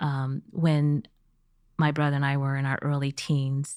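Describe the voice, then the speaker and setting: A woman speaks with a General American accent in a very deep, low voice, recorded very cleanly against a silent background. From US, Missouri and California. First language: Chinese. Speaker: business executive. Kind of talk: podcast interview.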